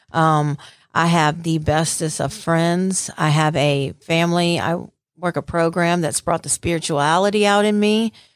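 A woman with a Southern US accent at a fairly slow pace, in a very clean recording with a silent background. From Mississippi Gulf Coast. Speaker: recovering addict sharing testimony. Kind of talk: testimony. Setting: studio interview.

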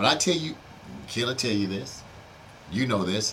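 Lively intonation from a man with an American accent, at a moderate pace amid noticeable background noise. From Houston, Texas (Third Ward). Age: old. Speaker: retired businessman and entrepreneur. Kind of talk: interview.

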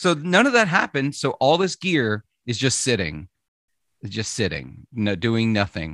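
Speaking fairly slowly with an American accent, a man uses very wide pitch swings, recorded with a dry, close sound with no echo and a quiet background. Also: medium pitch for a man. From Mississippi, US South. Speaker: podcast host. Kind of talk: casual chat.

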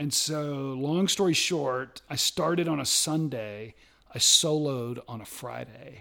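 A man speaks at a very slow pace in a fairly high voice. His tone is bright and sharp, with ordinary pitch variation. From US South. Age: 50s. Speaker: IT innovation strategist and outdoor enthusiast. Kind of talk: casual chat.

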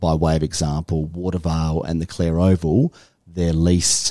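With an Australian accent, a man talks in a very deep, low pitch and a dark, mellow tone, his intonation fairly even and the sound dry and close with no echo. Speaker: council director. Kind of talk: interview.

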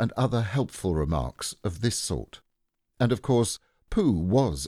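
Someone reads aloud in a natural voice, with lively intonation. The background is quiet.

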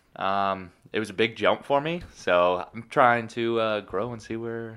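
Lively intonation marks this voice with a Buffalo accent, set against a quiet background. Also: man. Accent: Western New York (Buffalo). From Buffalo, New York area. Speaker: podcast co-host, gym worker. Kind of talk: casual chat.

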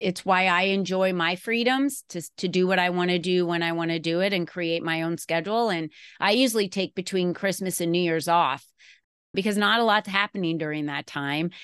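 A woman with an unremarkable speaking voice talks at a fairly quick pace, her pitch fairly low with ordinary variation. The background is quiet. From Arizona. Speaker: entrepreneur and business coach. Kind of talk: interview.

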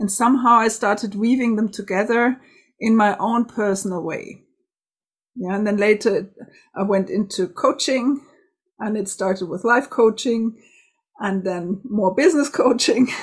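Fairly high-pitched, somewhat breathy woman's voice at a moderate pace, ordinary pitch variation and long, frequent pauses, on a very clean recording with a silent background. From Germany, Bavaria. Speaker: spiritual and business coach. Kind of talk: interview conversation.

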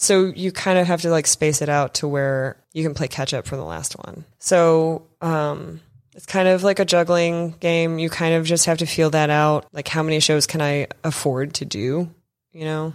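In a very clean recording with a silent background, a woman with an American accent speaks at a moderate pace in a very deep, low pitch, with fairly even intonation and big swings in loudness. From Houston, Texas. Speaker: painter. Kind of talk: casual interview. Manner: hesitant, casual.

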